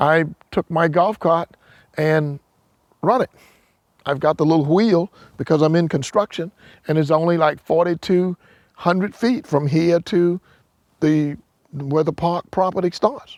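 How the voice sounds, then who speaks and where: Heard on a very clean recording with a silent background, a high-pitched man with a South Carolina accent uses ordinary pitch variation and long, frequent pauses. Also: fairly slow pace, very even loudness, dry, close sound with no echo. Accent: US Southern (South Carolina). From South Carolina, Hopkins. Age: 60s. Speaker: landowner and builder. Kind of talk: interview. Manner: halting, many repetitions and fillers.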